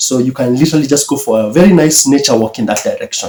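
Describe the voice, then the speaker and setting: Fairly high in pitch, a man's voice has a dark, mellow tone and a Kenyan accent. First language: Kikuyu. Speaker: YouTuber. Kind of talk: reaction commentary. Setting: at his mother's house.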